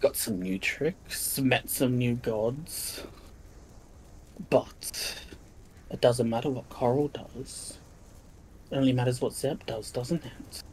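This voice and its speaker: A man speaks in a put-on character voice at a medium pitch and a fairly slow pace. Long, frequent pauses break up his lines, and clear background noise sits behind him. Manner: mocking, menacing.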